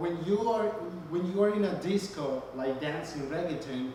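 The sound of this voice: A man with a fairly high pitch, a dark, mellow tone, lively intonation, a moderate pace and audible room echo.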